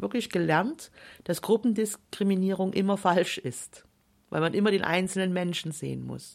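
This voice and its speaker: In a very clean recording with a silent background, a woman talks at a fairly quick pace with vocal fry, a medium pitch and ordinary pitch variation. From Saxony, Germany. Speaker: author and former politician. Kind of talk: radio interview.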